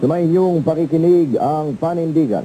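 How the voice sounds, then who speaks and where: Noticeable background noise sits behind this voice. A man speaks at a moderate pace. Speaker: radio announcer. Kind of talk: radio station sign-off and station ID.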